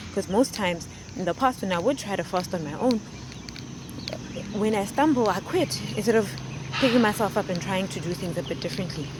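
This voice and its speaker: Over noticeable background noise, a woman with a medium pitch talks at a fairly quick pace with lively intonation and long, frequent pauses. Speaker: wellness vlogger. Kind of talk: personal vlog. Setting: outdoors on a walk. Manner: soft-spoken.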